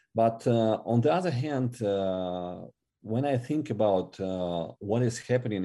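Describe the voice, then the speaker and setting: A man speaks at a fairly slow pace with a Russian accent. His tone is dark and mellow, with ordinary pitch variation. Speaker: ministry regional director. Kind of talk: interview. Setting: podcast interview. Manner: halting.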